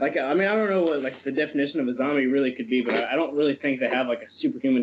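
A man's voice with ordinary pitch variation over light background noise. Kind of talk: casual conversation. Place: home room. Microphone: video call.

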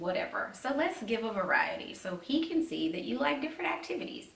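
The speaker is a woman talking at a moderate pace. Audible room echo surrounds her voice. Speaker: vlogger. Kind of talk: casual vlog advice chat. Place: home room. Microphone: camera far.

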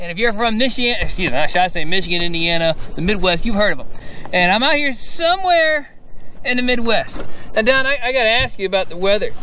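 A man talks at a very fast pace, the sound dry with no echo and light noise in the background. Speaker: fishing show host. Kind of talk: interview question and show intro. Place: boat.

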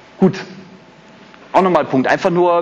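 A man talks at a fairly quick pace in an animated tone. Noticeable background noise is present. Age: 40s. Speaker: HR manager. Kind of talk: conference talk. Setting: stage with audience.

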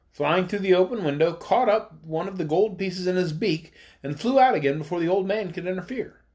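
This is someone reading aloud in a natural voice with ordinary pitch variation.

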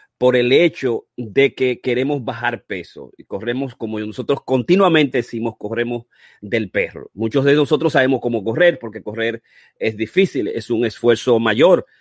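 Recorded with a dry, close sound and no echo, a man speaks at a medium pitch and a fairly slow pace. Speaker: physician and running-health show host. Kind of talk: online masterclass presentation. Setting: live stream. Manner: animated.

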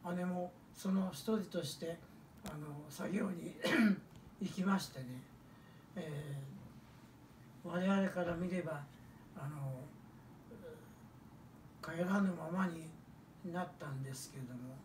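Speaking very slowly with long, frequent pauses, a man with a Hiroshima accent uses a high pitch and ordinary pitch variation, with audible room echo and light background noise. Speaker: atomic bomb survivor. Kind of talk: testimony talk to children. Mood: solemn, reflective. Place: home room.

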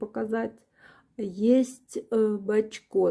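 A woman speaks at a very slow pace with fairly even intonation. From Ukraine. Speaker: perfume reviewer. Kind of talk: product review, video blog. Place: home room.

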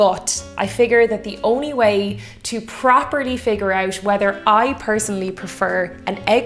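Faint music sits in the background while a woman talks. Her pace is moderate and her pitch variation ordinary. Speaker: cocktail channel host. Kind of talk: casual vlog chat. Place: kitchen.

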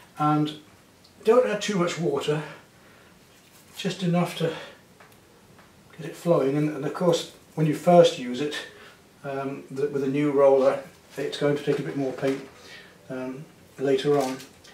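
A man's fairly high, slightly mellow voice at a fairly slow pace, fairly even in intonation, with long, frequent pauses and audible room echo.

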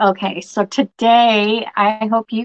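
A woman talks in monotone, flat intonation. The background is quiet. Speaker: crafter; craft livestream host. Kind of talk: live stream craft tutorial. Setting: live stream at home table with camera. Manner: halting. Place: home room. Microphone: phone near.

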